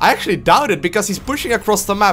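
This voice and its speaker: Excited in tone, a man speaks very fast at a high pitch with ordinary pitch variation. Noticeable background noise can be heard. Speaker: StarCraft 2 commentator. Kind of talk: esports game commentary. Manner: excited, fast-paced.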